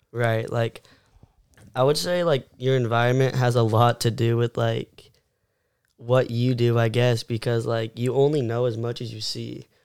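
A man's normal speaking voice at a medium pitch, with an American accent, fairly even intonation and a moderate pace. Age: 18. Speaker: content creator and skateboarder. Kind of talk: casual chat.

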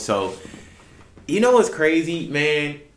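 A man with an American accent speaks with lively intonation. There is audible room echo. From Texas (Houston area). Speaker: barber, podcast co-host. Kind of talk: casual chat. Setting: barbershop.

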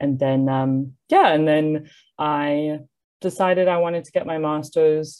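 Very deep, low female speech with ordinary pitch variation. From South Africa. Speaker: English teacher and poet. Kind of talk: interview. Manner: hesitant, many fillers.

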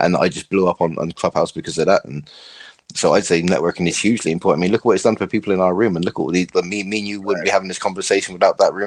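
Talking at a very fast pace, a man with a British accent has a very deep, low pitch and fairly even intonation, recorded with a dry, close sound and no echo. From England, between London and Bristol. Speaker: podcast guest, content creator and influencer. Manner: fast talker.

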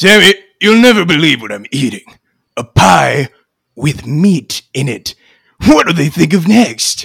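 Using a fairly high put-on character voice, a man speaks at a moderate pace with long, frequent pauses. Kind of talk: comic parody drama. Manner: cocky, wisecracking.

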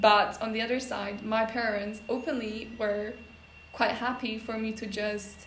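A woman with a Polish accent speaks at a fairly high pitch in a monotone, flat way. Noticeable background noise runs underneath. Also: fairly slow pace. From Poland. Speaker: podcast host. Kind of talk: casual chat.

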